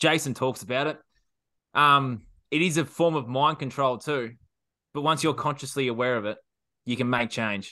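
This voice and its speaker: Talking at a moderate pace with long, frequent pauses, a man with an Australian accent has a medium-pitched, bright, sharp tone and ordinary pitch variation against a quiet background. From Australia, regional Victoria. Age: 20s. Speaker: self sabotage coach. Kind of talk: roundtable discussion. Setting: video call. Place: home room. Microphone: video call.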